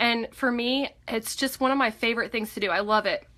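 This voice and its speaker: Her voice is high-pitched with a bright, sharp tone. The woman keeps her intonation fairly even. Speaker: direct sales presenter. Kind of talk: live online training talk. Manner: halting, many fillers.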